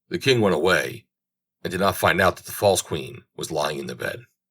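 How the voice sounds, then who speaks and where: A man's put-on character voice, raspy and very deep, with lively intonation at a moderate pace. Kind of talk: bedtime story. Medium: read story.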